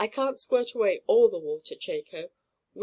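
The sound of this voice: The reading voice here is unforced. Quiet surrounds it.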